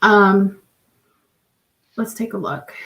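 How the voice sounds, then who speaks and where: A woman speaks at a very slow pace with a medium pitch. Her intonation stays fairly even. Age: 30s. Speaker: guest panelist. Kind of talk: casual chat. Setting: live stream.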